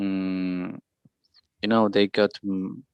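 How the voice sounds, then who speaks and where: With a Spanish accent, a man speaks at a very slow pace in a dry, close sound with no echo. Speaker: English learner in conversation group. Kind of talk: speaking practice answer. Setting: video call. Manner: halting, repetitions.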